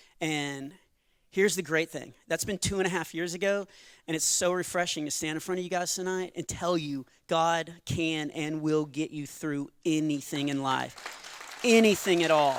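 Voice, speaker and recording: A man speaks with a Texan accent at a moderate pace, his intonation fairly even. The recording is very clean, with a silent background. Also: fairly high pitch for a man. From Texas. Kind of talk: stand-up comedy with testimony. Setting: church stage with audience.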